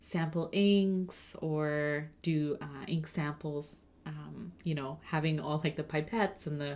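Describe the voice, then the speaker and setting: A woman speaks with fairly even intonation at a very deep, low pitch. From Germany, Sri Lankan (Tamil) family. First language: Tamil/German, English learned in grade three. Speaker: livestreamer, ink painter. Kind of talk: casual livestream chat. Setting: livestream while painting. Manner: careful enunciation; many fillers (um, uh, like).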